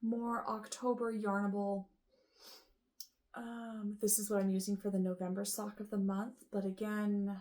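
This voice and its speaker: A woman with a somewhat breathy, dark, mellow tone speaks fairly slowly at a medium pitch, her intonation monotone and flat. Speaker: knitting vlogger. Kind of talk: casual chat. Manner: hesitant, many fillers.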